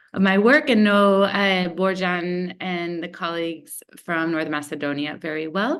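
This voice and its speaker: A woman with an American accent speaks at a fairly slow pace with hardly any pauses, her pitch fairly low and varying in an ordinary way. It is a plain, everyday voice. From United States. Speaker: researcher. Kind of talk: webinar presentation.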